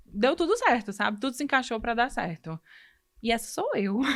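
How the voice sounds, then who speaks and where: A woman's fairly high voice in a Ceará accent, on a very clean recording with a silent background. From Brazil, Ceará. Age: 30s. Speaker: medical student. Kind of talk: podcast interview, personal story.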